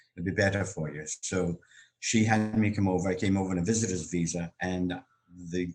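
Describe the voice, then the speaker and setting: A man with a Scottish accent speaks at a fairly quick pace, his very deep, low voice keeping a fairly even intonation. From Scotland, Glasgow. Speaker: actor and comedian. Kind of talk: interview about life story. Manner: conversational with frequent fillers.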